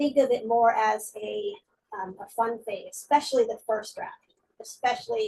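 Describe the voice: The clip is plain reading aloud. Behind it, things stay quiet.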